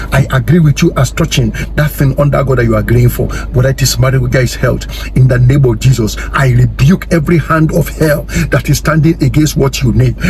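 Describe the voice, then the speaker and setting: Noticeable background noise sits behind a man who talks at a fairly quick pace with very even loudness. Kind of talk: fervent prayer of agreement, spoken as an intercession for viewers. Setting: online video, addressing viewers directly. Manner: earnest, urgent and declarative, rising in intensity with repeated phrases; preacher-like, commanding, repeating 'amen' and 'so let it be'. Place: car. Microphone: phone near.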